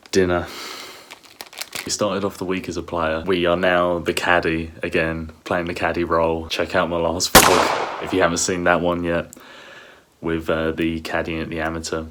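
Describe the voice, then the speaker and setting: With noticeable background noise behind him, a man with a very deep, low pitch speaks in a monotone, flat intonation at a moderate pace. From south-east London, England. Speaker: golfer and vlogger. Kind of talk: casual vlog.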